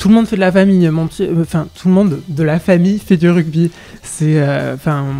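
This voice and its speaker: A man talks at a moderate pace with a high pitch and fairly even intonation. There is noticeable background noise. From southwest France, Lot-et-Garonne. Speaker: singer. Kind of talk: interview. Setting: radio interview. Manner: hesitant, many fillers and repetitions.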